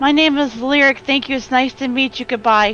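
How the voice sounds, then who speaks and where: Clear music plays in the background as a woman in a put-on character voice talks at a high pitch and a fairly quick pace. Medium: actual play. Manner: eager, rambling.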